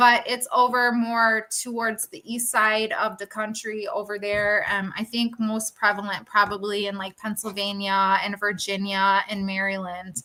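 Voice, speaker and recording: A woman's fairly high, monotone, flat voice at a fairly slow pace, with hardly any pauses and big swings in loudness. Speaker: furniture flipper. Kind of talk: casual chat. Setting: live stream panel.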